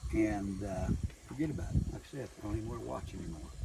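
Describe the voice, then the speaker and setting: A man speaks with lively intonation while background noise remains noticeable. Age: 60s. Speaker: retired construction contractor, full-time van dweller. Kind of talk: interview answer. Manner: casual, folksy, halting with fillers.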